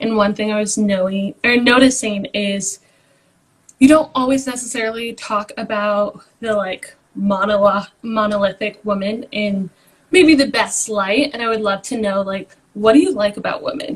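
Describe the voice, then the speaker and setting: Woman's voice, fairly high in pitch, moderate in pace, ordinary in pitch variation. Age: 20s. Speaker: caller on a live stream. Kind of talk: casual chat.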